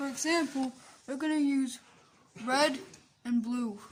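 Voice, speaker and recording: With ordinary pitch variation, the speaker talks very slowly against noticeable background noise. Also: woman. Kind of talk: parody infomercial how-to talk to camera. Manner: casual, excitable.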